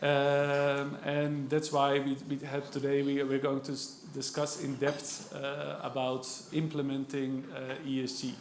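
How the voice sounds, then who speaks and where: A man with a Dutch accent speaks at a fairly slow pace with hardly any pauses, his pitch fairly high. His intonation is monotone and flat, and room echo is audible. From Netherlands. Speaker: panel moderator, index sales manager. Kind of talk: panel moderation at a conference. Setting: conference stage with audience. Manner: hesitant, many filler sounds.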